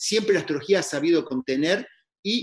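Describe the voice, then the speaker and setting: This man speaks with lively intonation. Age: 50s. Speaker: astrologer. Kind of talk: casual interview conversation. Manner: halting, many repetitions.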